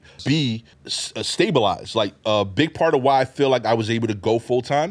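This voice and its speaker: Using ordinary pitch variation, a man with a Brooklyn accent talks at a fairly quick pace. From Brooklyn, New York (East New York). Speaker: comedian. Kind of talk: casual chat.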